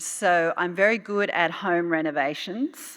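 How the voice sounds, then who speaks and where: Over a silent background on a very clean recording, a woman with an Australian accent speaks at a fairly low pitch in a bright, sharp tone. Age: 60s. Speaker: UN official. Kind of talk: keynote speech. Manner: hesitant with frequent fillers.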